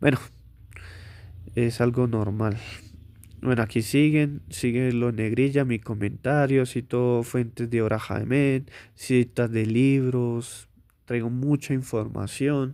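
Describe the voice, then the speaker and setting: A man's medium-pitched voice at a very slow pace, fairly even in intonation, with long, frequent pauses. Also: very clean recording, silent background. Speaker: author presenting his book. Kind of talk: book presentation monologue. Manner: casual with frequent hesitations.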